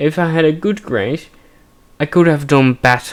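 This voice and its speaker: At a fairly slow pace, a man talks in a fairly high pitch with ordinary pitch variation. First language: Dutch. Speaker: gaming streamer. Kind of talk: let's play commentary with personal reflection. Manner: halting.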